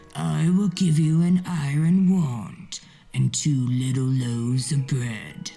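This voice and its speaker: A put-on character voice sits at a low-to-middle pitch at a fairly slow pace. Faint music plays in the background. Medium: read story.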